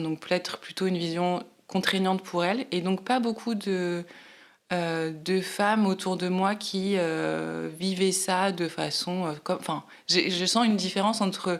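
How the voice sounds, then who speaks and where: Fairly even intonation marks this woman's voice, pitched at a medium level. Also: fairly slow pace. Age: 40s. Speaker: podcast guest, mother sharing breastfeeding experience. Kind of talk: interview testimony. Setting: podcast microphone. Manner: hesitant, many fillers.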